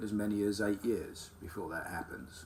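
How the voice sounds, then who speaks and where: Somewhat breathy, a man speaks at a moderate pace. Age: 50s. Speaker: carpenter sharing his illness. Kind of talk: personal testimony monologue. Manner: halting, many ums.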